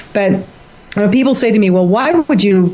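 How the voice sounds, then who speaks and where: A woman speaks at a medium pitch, her voice swinging very widely up and down. Noticeable background noise runs underneath. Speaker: author and former flight attendant. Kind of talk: radio interview. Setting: radio show. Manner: animated.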